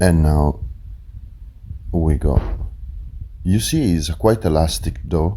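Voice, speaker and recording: A man with a very deep, low pitch and ordinary pitch variation speaks very slowly, with long, frequent pauses and very even loudness, over noticeable background noise. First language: Italian. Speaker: chef and restaurant owner. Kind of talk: cooking tutorial. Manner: hesitant, many fillers.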